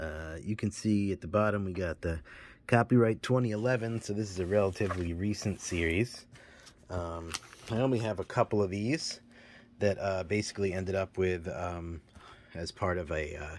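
A man's very deep, low voice at a moderate pace, ordinary pitch variation, and light background noise. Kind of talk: casual collection tour. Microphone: phone near.

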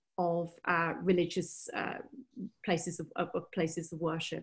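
Against a quiet background, a woman talks at a medium pitch in a somewhat breathy voice. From northern England. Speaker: barrister. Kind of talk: webinar lecture. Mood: serious, analytical. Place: home room. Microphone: webcam.

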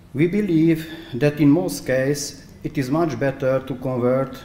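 A man at a medium pitch, fairly slow pace and ordinary pitch variation, with audible room echo. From Transylvania, Romania. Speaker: architect and researcher. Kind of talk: conference presentation. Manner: halting, hesitant with fillers. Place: hall. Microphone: podium.

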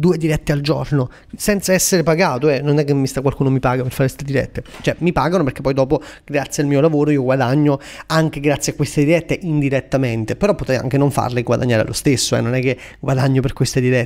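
A man's fairly high, animated voice at a very fast pace. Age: 20s. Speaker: career coach and entrepreneur. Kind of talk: casual Instagram live Q&A.

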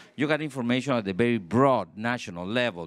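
A man in a Spanish accent speaks with lively intonation. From Costa Rica. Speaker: former environment minister. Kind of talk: panel discussion. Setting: stage with audience. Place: stage. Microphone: handheld.

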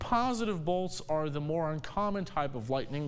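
This man speaks at a moderate pace with a fairly high pitch. His intonation is lively. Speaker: television meteorologist. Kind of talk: TV weather forecast and reporting. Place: studio.

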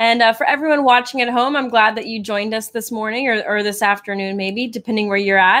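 Speaking at a fairly quick pace, a woman lets her pitch vary in an ordinary way. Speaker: show co-host. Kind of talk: live show hosting announcement. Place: home room. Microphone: studio mic.

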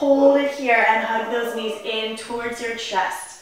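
Strong room echo surrounds a woman whose voice shows ordinary pitch variation. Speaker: fitness instructor. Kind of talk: workout instruction cues. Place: home room.

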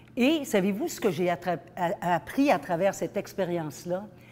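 Female voice, fairly low in pitch, with lively intonation and a very slow pace. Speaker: keynote speaker. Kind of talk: motivational talk. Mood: earnest, personal storytelling.

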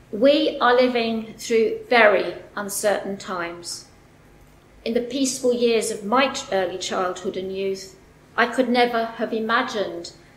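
Fairly high pitch from a woman, with audible echo from the room. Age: 60s. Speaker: activist event organiser. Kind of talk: prepared speech. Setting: stage with audience. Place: hall. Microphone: podium.

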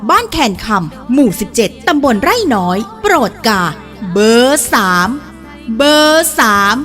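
Against music in the background, a woman with a fairly high pitch speaks in very wide pitch swings while her loudness stays very even. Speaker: voice-over announcer for a local election ad. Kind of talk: election campaign spot read.

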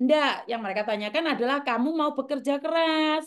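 Shouting loudly at a fairly quick pace, a woman keeps a high pitch with ordinary pitch variation. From Java, Indonesia. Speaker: vlogger, former migrant domestic worker; vlogger. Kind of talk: casual monologue to viewers. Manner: loud, sounds like shouting; harsh, not soft. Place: home room. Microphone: phone near.

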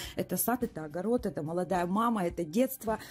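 Light background noise sits behind a woman's voice. She speaks at a moderate pace with lively intonation. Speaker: cosmetics distributor reviewer. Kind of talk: casual product review. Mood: enthusiastic, warm. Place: home room.

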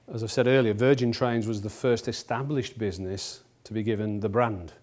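Here is a normal speaking voice. The pace is moderate. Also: man. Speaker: company executive lecturer. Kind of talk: lecture. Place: hall.

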